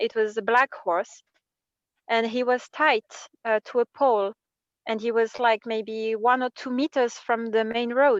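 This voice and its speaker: A woman with a French accent and a fairly high pitch speaks at a fairly slow pace with fairly even intonation and long, frequent pauses, in a dry, close sound with no echo. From France. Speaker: workshop participant. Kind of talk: personal sharing in group workshop. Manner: halting.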